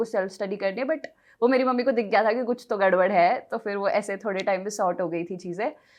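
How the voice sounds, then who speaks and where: The intonation is lively. Behind the voice, the background is quiet. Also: woman. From Himachal Pradesh, small town. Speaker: English teacher. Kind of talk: podcast interview.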